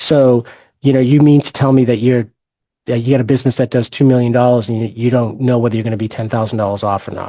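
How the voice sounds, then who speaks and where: A man speaks very fast in a dark, mellow tone with monotone, flat intonation over a quiet background. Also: medium pitch for a man. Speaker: forensic financial expert. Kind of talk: webinar presentation. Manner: halting, many fillers and restarts.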